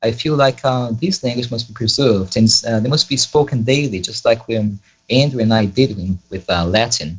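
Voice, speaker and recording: In a Brazilian Portuguese accent, the speaker talks at a moderate pace with a somewhat breathy voice and ordinary pitch variation. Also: man, medium pitch for a man. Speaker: Latin student and polyglot. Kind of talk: interview. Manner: hesitant, many fillers.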